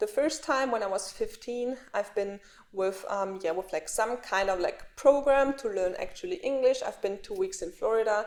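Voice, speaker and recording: A woman with a non-native accent talks in a high voice with very wide pitch swings and hardly any pauses. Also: moderate pace. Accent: foreign accent in English. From Austria (Graz). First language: German. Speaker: vlogger. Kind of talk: casual vlog talk.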